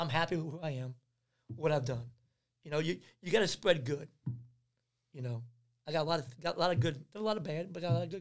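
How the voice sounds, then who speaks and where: A man speaks very fast at a fairly high pitch, with ordinary pitch variation and big swings in loudness. Long pauses come often, and music plays in the background. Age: 50s. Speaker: youth basketball trainer. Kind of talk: casual chat. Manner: animated.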